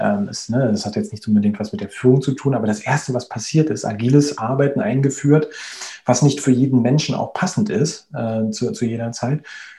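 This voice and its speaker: Noticeable background noise fills the recording. Through it, a man talks at a medium pitch. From Berlin, Germany. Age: 30s. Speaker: agile coach. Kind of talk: interview. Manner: hesitant, many fillers.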